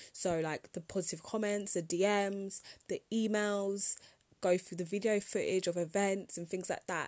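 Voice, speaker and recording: Monotone, flat intonation from a woman with a British accent, medium pitch, and moderate pace. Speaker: podcast host and entrepreneur. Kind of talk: casual solo podcast monologue.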